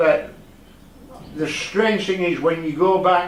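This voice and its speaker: The speaker has a Yorkshire accent and talks at a fairly slow pace with ordinary pitch variation, amid noticeable background noise and audible room echo. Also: man. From northern England (Leeds, Yorkshire). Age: 70s. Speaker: retired resident and amateur painter. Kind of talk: interview. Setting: at home in his conservatory. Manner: halting.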